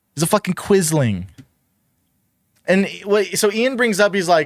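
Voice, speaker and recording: A man speaks in a raised, projected voice, high in pitch with a bright, sharp tone. His delivery is animated, with lively intonation at a moderate pace. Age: 20s. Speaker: streamer reacting to videos. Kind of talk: reaction commentary.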